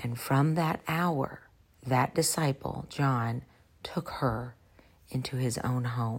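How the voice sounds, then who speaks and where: Very slowly, a woman speaks in a very deep, low, somewhat breathy voice with ordinary pitch variation. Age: 40s. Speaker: podcast host, Bible teacher. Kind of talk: solo Bible teaching podcast.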